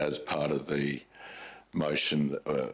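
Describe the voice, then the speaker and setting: The speaker is a man. He has an Australian accent. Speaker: mayor chairing council meeting. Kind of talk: council meeting debate. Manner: loud.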